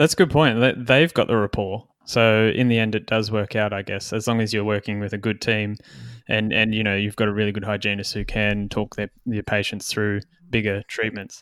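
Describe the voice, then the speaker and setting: An unremarkable speaking voice at a moderate pace, with fairly even intonation and a dry, close sound with no echo on a very clean recording with a silent background. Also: man, fairly low pitch for a man. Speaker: podcast host and dentist. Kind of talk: interview, casual chat.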